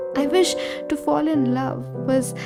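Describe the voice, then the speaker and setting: There is music in the background while a woman talks at a fairly slow pace. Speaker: poet. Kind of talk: poetry reading. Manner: wistful, emotional, reflective.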